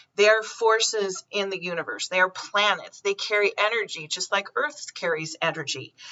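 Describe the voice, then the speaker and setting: A woman's plain, everyday voice at a medium pitch. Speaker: psychic medium. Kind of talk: spiritual forecast monologue.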